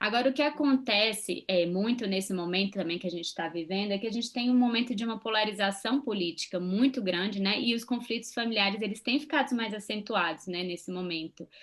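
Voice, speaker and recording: With hardly any pauses, a woman talks in an ordinary speaking voice, fairly high in pitch with ordinary pitch variation. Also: fairly quick pace. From Brazil. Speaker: psychologist and channel co-host. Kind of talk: casual chat.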